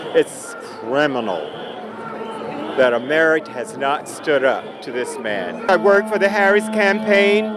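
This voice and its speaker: A man speaks at a fairly slow pace with a high pitch and very wide pitch swings. Audible room echo and noticeable background noise fill the recording. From US South. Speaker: protester interviewed at a march. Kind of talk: street interview. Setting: outdoors at a street protest.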